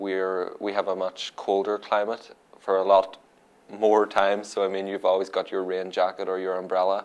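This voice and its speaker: With an Irish accent, a man talks at a fairly low pitch. His intonation is monotone and flat. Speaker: international student. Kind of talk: interview.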